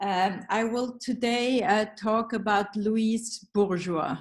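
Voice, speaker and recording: Very slowly, a woman with a Swiss German accent speaks at a medium pitch with fairly even intonation. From Switzerland, Zurich. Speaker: psychoanalyst and art therapist. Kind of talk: reading a paper. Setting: video call.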